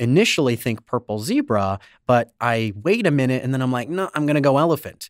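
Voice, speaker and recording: A man with a plain, everyday voice speaks at a fairly quick pace with lively intonation and medium pitch, in a very clean recording with a silent background and a dry, close sound with no echo. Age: 30s. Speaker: comedy producer and improv performer. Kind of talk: interview.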